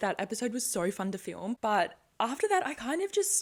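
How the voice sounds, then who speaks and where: A woman speaks with an Australian accent in an animated tone. She is mumbling. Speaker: podcast host. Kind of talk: casual monologue. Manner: fast, animated.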